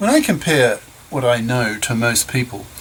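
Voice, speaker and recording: Noticeable background noise sits behind a man speaking at a moderate pace, his medium pitch showing ordinary variation. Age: 70s. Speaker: retired professor reading his own essays. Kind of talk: reading aloud.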